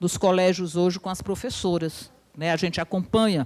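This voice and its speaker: A woman at a fairly quick pace. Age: 60s. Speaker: university professor and union speaker. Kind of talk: lecture. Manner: animated.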